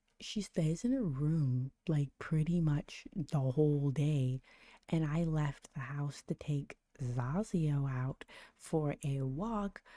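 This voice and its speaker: A quiet woman at a very slow pace, very deep and low in pitch, with ordinary pitch variation, a dark, mellow tone, and a dry, close sound with no echo. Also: very clean recording, silent background. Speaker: livestreamer trading gold. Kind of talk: casual livestream chat. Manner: halting, many repetitions; talking quietly.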